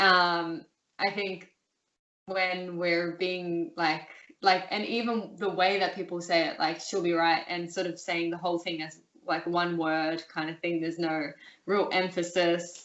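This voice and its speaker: In an Australian accent, the speaker talks at a fairly slow pace with monotone, flat intonation. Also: woman, fairly low pitch for a woman. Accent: general Australian, urban. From Australia, Melbourne. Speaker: interview guest. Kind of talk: casual interview. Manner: halting, many fillers.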